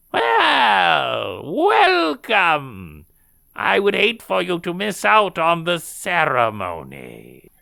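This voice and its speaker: Someone speaks at a very slow pace in a put-on character voice. The recording is very clean, with a silent background. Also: man, fairly high pitch for a man. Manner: welcoming, sinister.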